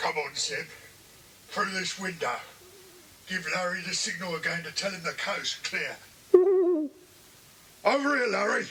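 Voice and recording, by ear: Using a put-on character voice, a man with a high pitch and a bright, sharp tone shows lively intonation at a fairly slow pace with long, frequent pauses.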